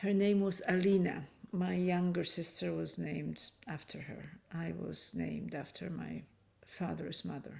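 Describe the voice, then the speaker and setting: Speaking at a fairly slow pace, a woman talks with a Polish accent. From Poland, Kraków, then Canada. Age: 70s. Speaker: refugee interviewee. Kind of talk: testimony. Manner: hesitant.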